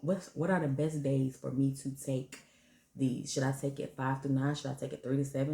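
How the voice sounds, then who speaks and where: Soft-spoken and somewhat breathy, the voice has a dark, mellow tone and fairly even intonation. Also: woman. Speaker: parenting and fertility vlogger. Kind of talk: casual vlog talk to camera. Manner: soft-spoken, talking low.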